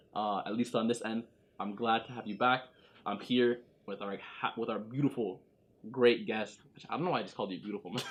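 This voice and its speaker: A man at medium pitch with a Toronto accent, a fairly quick pace and long, frequent pauses. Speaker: podcast host. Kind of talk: casual podcast conversation.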